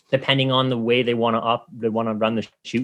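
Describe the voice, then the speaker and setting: A man with a Canadian accent talks at a very fast pace. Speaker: competitive archer. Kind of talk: explanatory interview chat. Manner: animated.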